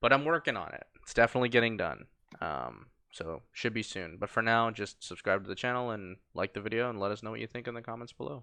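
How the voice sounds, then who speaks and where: With a bright, sharp tone, a man speaks very fast at a medium pitch, using ordinary pitch variation and big swings in loudness. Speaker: podcast host. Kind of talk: casual chat.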